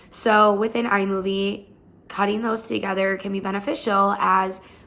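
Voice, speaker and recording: Medium pitch marks this woman's voice. Audible echo from the room surrounds it. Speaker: chiropractor. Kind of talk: tutorial. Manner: fast.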